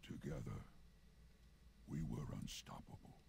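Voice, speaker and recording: A man puts on a character voice against clear background noise. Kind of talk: epic fantasy game voice. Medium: video game. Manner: solemn, commanding.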